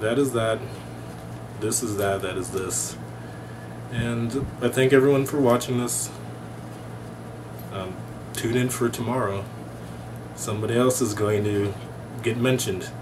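Long, frequent pauses break up fairly even intonation at a fairly slow pace. Noticeable background noise runs underneath. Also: man. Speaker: MBA student vlogger. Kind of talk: casual vlog chat. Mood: relaxed, amused. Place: home room. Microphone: webcam.

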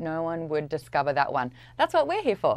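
A woman with an Australian accent, talking at a fairly quick pace, in a dry recording with no echo. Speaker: pop culture commentator. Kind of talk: promotional interview segment. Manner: animated.

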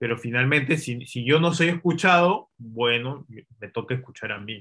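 A man's bright, sharp voice at a fairly slow pace, with ordinary pitch variation and big swings in loudness, against a quiet background. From Peru. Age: 30s. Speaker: film director and screenwriter; interview guest. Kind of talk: casual interview. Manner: hesitant, repeats words. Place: home room. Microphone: video call.

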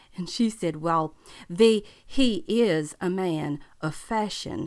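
In a Southern US accent, a woman with a bright, sharp tone speaks at a very slow pace on a very clean recording with a silent background. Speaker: actress performing a teacher character. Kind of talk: scripted comic monologue in character as a schoolteacher.

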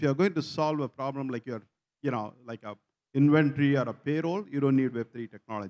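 A man's plain, everyday voice, fairly high in pitch, at a fairly quick pace with lively intonation over a quiet background. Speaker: tech company founder. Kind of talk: panel discussion. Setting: stage with audience. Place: stage. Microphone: lapel.

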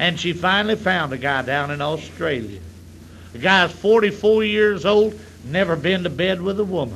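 A man with a Southern US accent, a high pitch, lively intonation and a moderate pace. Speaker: comedian. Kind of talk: stand-up. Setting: stage with audience.

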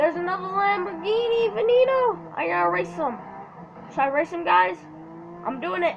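At a moderate pace and a high pitch, a woman speaks with very wide pitch swings and long, frequent pauses over noticeable background noise. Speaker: gaming YouTuber. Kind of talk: gameplay commentary. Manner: casual, hesitant with fillers.

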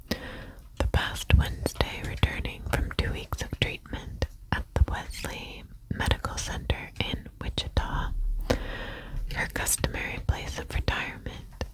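Whispering softly at a fairly slow pace, a woman is heard in a dry recording with no echo and noticeable background noise. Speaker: audiobook reader. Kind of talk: soft-spoken book reading. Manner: soft close-mic ASMR whisper. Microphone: studio mic.

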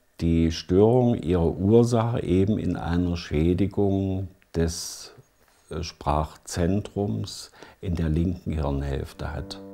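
At a very slow pace, a man speaks in a very deep, low voice. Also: ordinary pitch variation. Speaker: speech therapist. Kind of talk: interview answer. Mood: calm, explanatory. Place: home room. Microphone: lapel.

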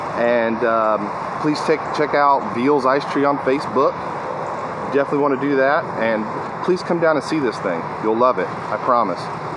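Loud background noise sits behind a man's voice. He speaks at a moderate pace with ordinary pitch variation. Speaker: vlogger. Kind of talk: casual vlog chat. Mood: heartfelt, reflective. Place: garden. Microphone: phone near.

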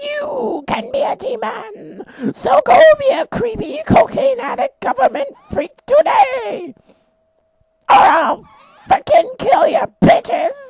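At a fairly slow pace, a man speaks in an extremely high pitch that swings very widely. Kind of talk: comic overacting infomercial pitch. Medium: machinima. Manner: manic, shouty, erratic, aggressive.

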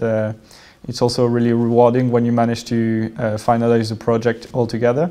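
A man speaks at a fairly quick pace in a dark, mellow tone. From France. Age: 20s. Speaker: business school student. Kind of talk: testimony. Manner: hesitant, many fillers. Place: hall.

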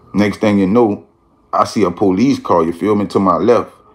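This man uses a normal speaking voice, fairly low in pitch and with fairly even intonation. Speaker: storyteller. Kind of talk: casual vlog chat. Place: home room. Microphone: phone near.

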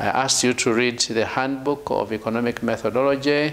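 Speaking at a fairly quick pace, a man keeps his intonation fairly even. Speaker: lecturer. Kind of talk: lecture.

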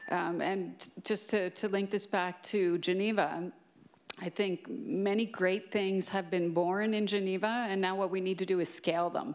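A woman's fairly slow, fairly even-toned voice at a very even loudness, over a quiet background. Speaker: telecom agency official; panelist. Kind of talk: panel discussion. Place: stage. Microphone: handheld.

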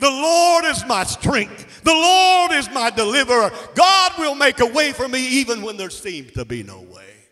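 Over music in the background, a man projects a raised voice at an extremely high pitch, with lively intonation, big swings in loudness, hardly any pauses and a moderate pace. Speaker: preacher. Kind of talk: sermon. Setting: church. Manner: animated; fervent, call-and-response. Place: church. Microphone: handheld.

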